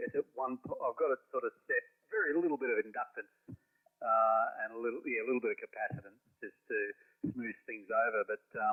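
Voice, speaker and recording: A man with an Australian accent, speaking with long, frequent pauses. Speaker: ham radio operator. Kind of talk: amateur radio contact. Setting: radio transmission.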